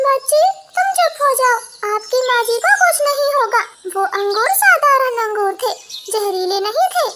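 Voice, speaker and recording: A woman puts on a cartoonish character voice at an extremely high pitch. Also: moderate pace. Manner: calm, measured.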